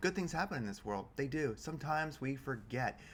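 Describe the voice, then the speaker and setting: A man speaks in an upbeat, enthusiastic tone. His pitch varies in an ordinary way. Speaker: crypto news YouTuber / market commentator. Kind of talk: casual talk to camera, crypto market commentary. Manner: upbeat, enthusiastic, conversational.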